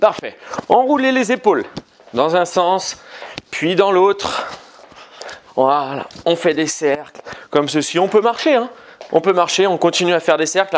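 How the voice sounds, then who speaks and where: Over light background noise, a man talks at a fairly slow pace with lively intonation and long, frequent pauses. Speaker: fitness coach. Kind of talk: workout instruction. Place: home room.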